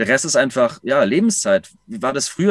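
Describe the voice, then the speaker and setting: Recorded dry and close with no echo against a quiet background, a man talks at a moderate pace with lively intonation. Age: 30s. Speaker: self-employed consultant living in a camper. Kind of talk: interview. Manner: halting, many fillers.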